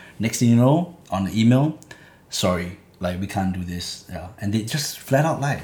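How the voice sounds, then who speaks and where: A somewhat breathy man with lively intonation at a moderate pace. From Singapore, Clementi. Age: 20s. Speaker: rapper. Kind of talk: interview.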